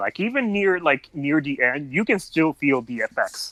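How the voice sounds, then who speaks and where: A man with a non-native accent and a bright, sharp tone, lively intonation, a fairly slow pace, and a dry, close sound with no echo. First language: not English. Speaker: fan fiction writer. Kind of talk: podcast interview. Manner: halting.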